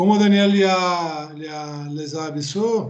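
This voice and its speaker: A man with a Brazilian accent, ordinary pitch variation, audible room echo and noticeable background noise. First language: Portuguese (speaking Spanish). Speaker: professor. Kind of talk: lecture. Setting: video call. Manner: halting.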